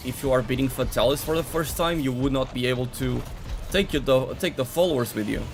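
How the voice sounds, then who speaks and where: This speaker has a strong Portuguese accent and a fairly quick pace. Music plays in the background. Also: man. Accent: heavy Portuguese. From Portugal. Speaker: gaming streamer. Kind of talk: live stream commentary while playing.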